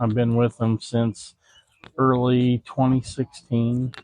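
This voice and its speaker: A man talks at a fairly slow pace. He has a Southern US accent and a medium pitch. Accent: Southern twang. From Indiana, Kentucky family. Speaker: veterans charity ambassador. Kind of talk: interview. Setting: outdoors at golf outing.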